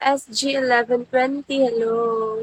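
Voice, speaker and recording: A woman's high voice, with fairly even intonation, comes through with a dry, close sound and no echo. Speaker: live streamer. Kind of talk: casual chat.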